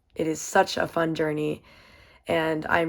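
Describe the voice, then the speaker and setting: A woman's very deep, low-pitched voice with an American accent. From US South, Virginia (Waynesboro). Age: 20s. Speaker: college student and swimmer. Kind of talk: self-introduction presentation. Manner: casual, upbeat.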